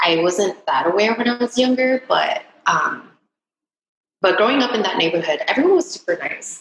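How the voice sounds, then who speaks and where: At a moderate pace, a woman speaks in a Californian accent. Her pitch is high and swings very widely. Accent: Californian American English. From Southern California, Huntington Beach (moved from Vietnam at age seven). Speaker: entrepreneur. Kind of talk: interview. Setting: podcast interview. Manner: halting, with many fillers.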